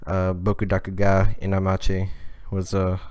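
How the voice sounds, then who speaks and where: A man with a very deep, low pitch speaks in a monotone, flat intonation. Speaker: podcast co-host. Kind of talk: casual chat. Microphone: close to the mic, some crackles.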